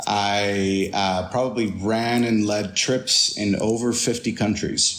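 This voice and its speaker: Very slowly and in a flat monotone, a man with a Spanish accent speaks at a fairly low pitch and very even loudness, with noticeable background noise and audible room echo. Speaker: tour guide and photographer. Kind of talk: interview.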